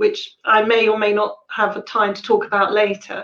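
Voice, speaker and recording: A woman speaks with a southern English accent. Her pitch is fairly high. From Sussex, southern England. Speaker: shamanic healer and drum maker. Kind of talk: talk and Q&A on shamanism. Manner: hesitant, many fillers.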